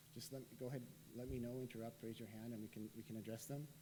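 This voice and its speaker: There is noticeable background noise and audible room echo. Through it, a man speaks with a medium pitch. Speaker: professor and researcher. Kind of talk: lecture. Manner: fast.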